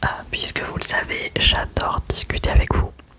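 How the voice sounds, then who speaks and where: Whispering, a woman speaks against noticeable background noise. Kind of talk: ASMR whispered chat to camera about favorite series. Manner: whispered, soft-spoken, relaxing.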